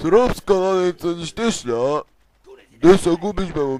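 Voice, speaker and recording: A man puts on a gruff character voice pitched high. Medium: fan dub. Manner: gruff, quick to threaten.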